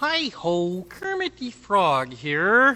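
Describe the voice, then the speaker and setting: The female-sounding voice is a put-on character voice that swings very widely in pitch. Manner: playful impression.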